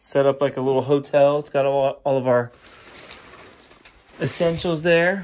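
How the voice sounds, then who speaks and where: A man speaks with fairly even intonation. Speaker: family travel vlogger. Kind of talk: casual vlog chat. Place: home room. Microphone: phone near.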